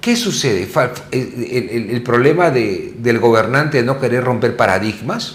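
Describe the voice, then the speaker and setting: A man talks at a fairly slow pace with hardly any pauses and ordinary pitch variation. Audible room echo surrounds his voice. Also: medium pitch for a man. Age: 60s. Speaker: TV talk show host. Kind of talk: interview conversation.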